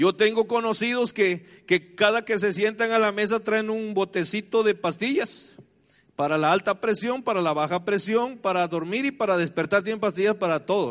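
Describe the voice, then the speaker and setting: Over quiet surroundings, delivery proceeds at moderate speed, its pitch shifting in an ordinary manner. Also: man, high pitch for a man. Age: 50s. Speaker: pastor. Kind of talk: sermon.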